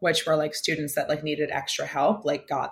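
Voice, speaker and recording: A woman with an American accent and a very deep, low pitch sounds somewhat breathy in a very clean recording with a silent background. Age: 20s. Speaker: chef and food content creator. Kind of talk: casual chat.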